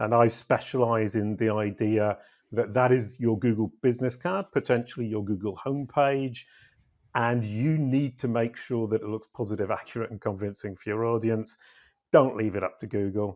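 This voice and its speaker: A man with a British accent speaks at medium pitch and a moderate pace, with fairly even intonation. The recording is very clean, with a silent background. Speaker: SEO consultant and company CEO. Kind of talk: interview podcast.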